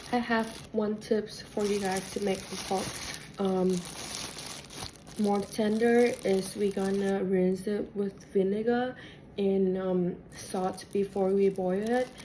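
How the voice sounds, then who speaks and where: A woman speaks very slowly in a Vietnamese accent, at a medium pitch. Her intonation is monotone and flat, with long, frequent pauses and noticeable background noise. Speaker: cooking teacher. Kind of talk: cooking class instruction. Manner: halting, many fillers and restarts.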